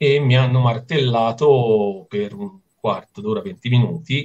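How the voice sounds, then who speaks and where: A somewhat breathy male voice. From Italy, island of Elba (Tuscany); Tuscany, Italy. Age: 50s. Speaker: amateur windsurfer and surfer; interviewee. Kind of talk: interview. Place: home room. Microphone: video call.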